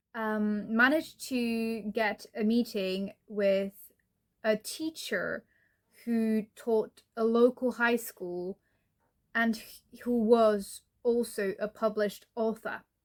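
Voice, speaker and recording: A woman with a non-native accent, a fairly high pitch and fairly even intonation, at a very slow pace. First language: not English. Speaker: writing vlogger. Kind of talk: personal storytelling vlog. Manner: halting, self-correcting.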